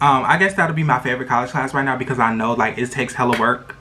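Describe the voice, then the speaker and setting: The voice has an animated tone. Noticeable background noise runs beneath it. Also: man. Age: 20s. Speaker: vlogger. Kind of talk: casual chat. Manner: loud.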